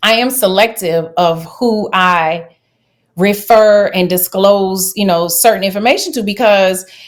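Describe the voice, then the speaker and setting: With a Louisiana accent, a woman of medium pitch talks at a fairly slow pace with ordinary pitch variation. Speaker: travel nurse. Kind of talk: interview.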